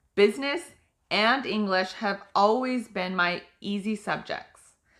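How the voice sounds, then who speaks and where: Speaking loudly and fairly slowly with an American accent, a woman uses lively intonation at a medium pitch on a very clean recording with a silent background. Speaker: author. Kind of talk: reading aloud.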